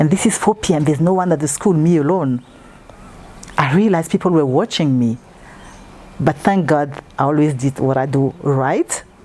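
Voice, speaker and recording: A woman with a French accent speaks at a very deep, low pitch and a moderate pace, with ordinary pitch variation, very even loudness and long, frequent pauses over noticeable background noise. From Congo. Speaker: interviewee. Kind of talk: interview.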